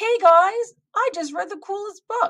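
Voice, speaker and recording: A woman puts on a squeaky character voice at an extremely high pitch. She speaks at a moderate pace. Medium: read story.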